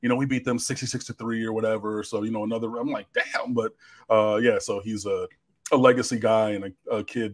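Over a quiet background, a man talks at a fairly quick pace with monotone, flat intonation. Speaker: sports show host. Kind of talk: livestream commentary answering chat. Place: home room. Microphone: studio mic.

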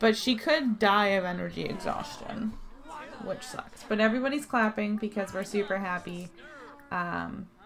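The speaker keeps a moderate pace and ordinary pitch variation while music plays underneath. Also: woman, medium pitch for a woman. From Canada. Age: 20s. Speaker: hairdresser and esthetician. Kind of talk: casual gameplay commentary.

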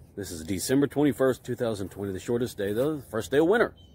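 Somewhat breathy, a man talks at a fairly quick pace in a dry sound with no echo. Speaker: amateur weather vlogger. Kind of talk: casual vlog chat. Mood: cheerful, jokey. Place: street. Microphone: phone near.

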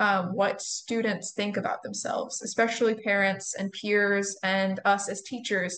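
In a quiet setting, a woman's mid-range voice holds a mostly level melody. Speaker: pre-service music teacher presenting a session. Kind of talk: presentation.

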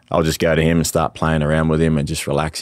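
Over a quiet background, a man with an Australian accent speaks in a very deep, low pitch. The sound is dry, with no echo. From Australia (Northern Territory). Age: young. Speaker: musician and former professional footballer. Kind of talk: casual interview. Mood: relaxed, candid. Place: studio. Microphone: studio mic.

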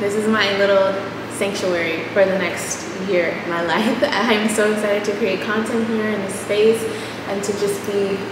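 A woman's voice with noticeable background noise and audible room echo. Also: moderate pace. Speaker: vlogger. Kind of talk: casual vlog chat. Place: empty room. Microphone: camera far.

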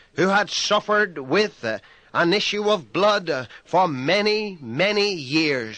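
A man's raised, projected voice, high in pitch and bright and sharp in tone, at a very slow pace. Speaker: pastor, preacher. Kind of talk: sermon, radio broadcast preaching.

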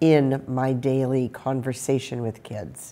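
Her pitch is very deep and low as this woman talks at a fairly slow pace. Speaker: college course instructor. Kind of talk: lecture. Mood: warm, friendly. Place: studio.

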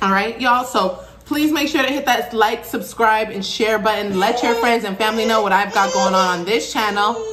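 Light background noise sits behind the speaker. A woman speaks at a moderate pace. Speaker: food vlogger. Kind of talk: casual vlog chat. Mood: relaxed, friendly. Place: home room. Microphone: phone near.

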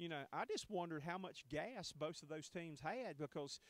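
A man at a fairly quick pace and a fairly high pitch

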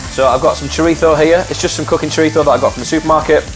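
A man talking at a very fast pace over clear music in the background. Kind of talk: tutorial. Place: kitchen.

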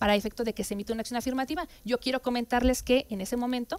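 The speaker is a woman. She uses ordinary pitch variation. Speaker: council guest. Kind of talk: interview answer. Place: studio. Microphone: headset.

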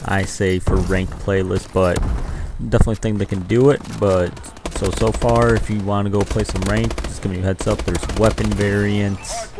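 Noticeable background noise sits behind a man whose very deep, low voice swings very widely in pitch at a moderate pace. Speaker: gaming youtuber. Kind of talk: angry gaming rant over gameplay footage, complaining about ranked play. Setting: screen-recorded gameplay commentary. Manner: animated, irritated, complaining; casual, chatty, addressing viewers.

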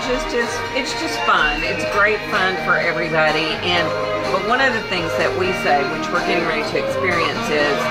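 A woman talks at a moderate pace while loud music fills the background. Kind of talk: interview answer. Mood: cheerful, enthusiastic. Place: cafe.

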